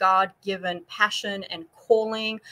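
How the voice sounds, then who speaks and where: A woman with a slight South African accent speaks at a fairly slow pace in a medium pitch, with a bright, sharp tone and fairly even intonation. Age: 40s. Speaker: nutrition and fitness coach. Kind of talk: interview on a live stream. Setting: live online stream.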